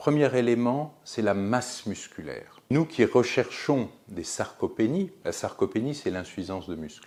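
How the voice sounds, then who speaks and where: A man's medium-pitched voice with vocal fry, very wide pitch swings and big jumps in loudness, at a fairly slow pace with hardly any pauses. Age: 60s. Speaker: physician, geriatrician. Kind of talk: explanatory talk to camera.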